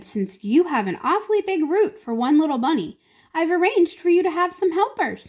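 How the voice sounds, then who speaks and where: Using a put-on character voice, a woman talks at a fairly quick pace with an extremely high pitch. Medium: read story. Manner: authoritative, measured.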